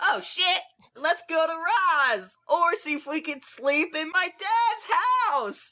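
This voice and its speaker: An extremely high-pitched put-on character voice at a very slow pace. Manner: roleplaying, playful.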